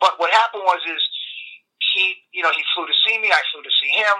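A man with a New York accent at a very fast pace. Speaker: health coach and former baseball player. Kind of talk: casual interview chat. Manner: blunt, enthusiastic.

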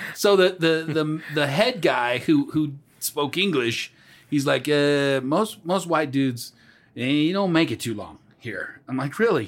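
In a very clean recording with a silent background, a man with a normal speaking voice talks fairly slowly at a fairly high pitch. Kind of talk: casual chat. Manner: loud and playful, joking.

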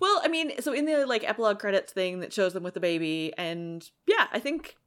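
In a very clean recording with a silent background, a woman talks at a fairly quick pace. Her fairly high voice moves in very wide pitch swings. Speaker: podcast host. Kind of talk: casual chat.

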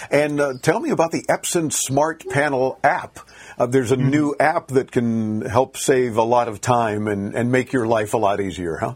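A man talks in an ordinary speaking voice at medium pitch. His pace is moderate and his pitch variation ordinary. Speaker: radio host. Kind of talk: live radio tech talk show. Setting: studio.

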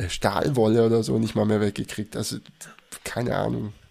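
This man has a dark, mellow tone and a fairly low pitch with vocal fry, speaking at a fairly quick pace. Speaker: podcast co-host. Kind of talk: casual chat.

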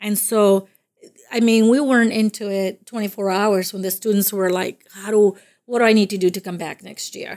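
A woman with a Spanish accent and medium pitch talks at a moderate pace in a monotone, flat intonation, her loudness swinging widely, on a very clean recording with a silent background. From Dominican Republic. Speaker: college career services coordinator. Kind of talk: interview.

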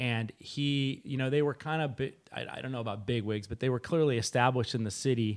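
This is a plain, everyday voice: a man at medium pitch in an American accent, fairly quick with hardly any pauses and ordinary pitch variation, on a very clean recording with a silent background. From Sonoma, California. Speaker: winery owner. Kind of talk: casual chat.

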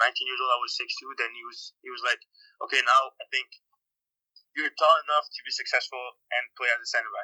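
Speaking at a fairly quick pace with a Quebec accent, the voice comes through dry and close with no echo, its loudness swinging widely. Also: man. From Quebec, Montreal. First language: French. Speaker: professional soccer player. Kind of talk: interview.

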